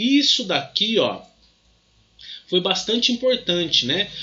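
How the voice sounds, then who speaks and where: Room echo is audible. The male speaker goes at a fairly slow tempo. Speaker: physics teacher. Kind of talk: lecture. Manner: halting, many fillers.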